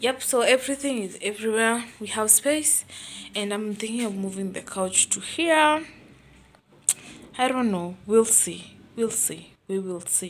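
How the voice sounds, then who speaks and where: A woman talks at a fairly slow pace with ordinary pitch variation. Light background noise is present. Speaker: vlogger. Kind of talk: casual vlog chat. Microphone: phone near.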